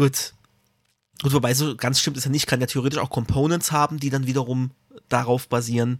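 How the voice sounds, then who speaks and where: Speaking fairly quickly at a medium pitch, a man keeps a flat, monotone intonation and leaves long, frequent pauses. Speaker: web developer podcast co-host. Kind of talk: casual tech chat.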